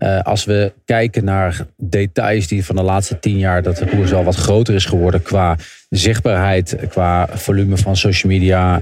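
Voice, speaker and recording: Fairly low in pitch, a man's voice unfolds at a fairly slow pace. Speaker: cycling pundit. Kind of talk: casual chat. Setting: remote from a busy hotel lobby. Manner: halting.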